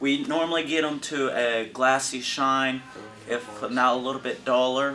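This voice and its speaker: A man's flat, monotone voice at a medium pitch, fairly slow, with music in the background. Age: young. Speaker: juvenile prison inmate. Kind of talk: interview answer. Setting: prison cell.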